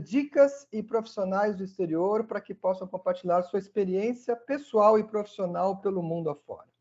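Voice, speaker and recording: Hardly pausing, the speech keeps a moderate pace with ordinary pitch variation. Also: man. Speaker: podcast host. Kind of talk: podcast intro.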